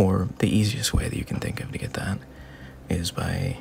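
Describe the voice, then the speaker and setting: Whispering in a soothing tone, a man keeps a moderate pace. Noticeable background noise is present. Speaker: voice actor. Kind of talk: heartfelt personal advice talk. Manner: soothing, calming.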